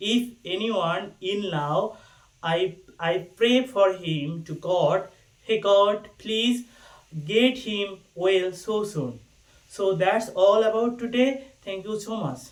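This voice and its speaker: Speaking at a very slow pace, a man with a Bangladeshi accent has a high pitch. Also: ordinary pitch variation. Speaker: university student. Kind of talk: casual talk to camera.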